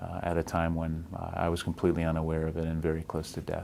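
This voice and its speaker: A man speaks at a very deep, low pitch. His pace is moderate. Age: 40s. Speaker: infectious diseases doctor. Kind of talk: interview answer, recounting illness story. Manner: soft-spoken, gentle.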